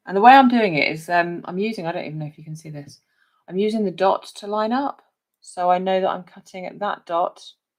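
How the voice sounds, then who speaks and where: Fairly quick speech in a southern English accent, with big swings in loudness. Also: woman, medium pitch for a woman, ordinary pitch variation. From southern England, Hampshire. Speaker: crafting demonstrator. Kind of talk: live craft tutorial. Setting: livestream from home craft desk. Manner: chatty, conversational.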